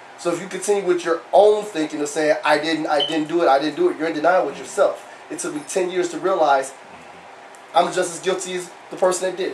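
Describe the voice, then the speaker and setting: Against noticeable background noise, a man talks at a very fast pace in a high pitch. His intonation is fairly even, while his loudness swings widely. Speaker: former prisoner. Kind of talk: testimony. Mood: earnest, reflective. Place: hall. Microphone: handheld.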